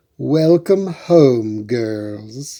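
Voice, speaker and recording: Using a put-on character voice, a man speaks at a medium pitch with lively intonation. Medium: read story.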